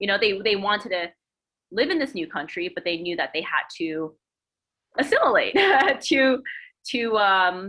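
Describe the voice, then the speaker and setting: A woman with an American accent speaks at a moderate pace in a medium pitch, her intonation lively and broken by long, frequent pauses. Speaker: guest speaker, artist. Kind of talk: panel discussion on video call. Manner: halting, mumbling.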